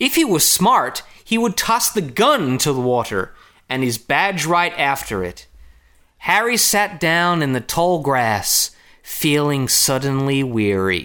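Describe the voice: A man's put-on character voice with an American accent, fairly high and bright, sharp in tone, with big pitch swings at a fairly slow pace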